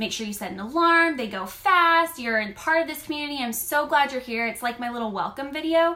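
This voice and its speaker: Over noticeable background noise, a woman with a high pitch speaks in a raised, projected voice at a fairly quick pace, animated in tone with lively intonation and hardly any pauses. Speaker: online clothing boutique stylist and seller. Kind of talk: live stream coaching talk. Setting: live video stream. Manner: loud.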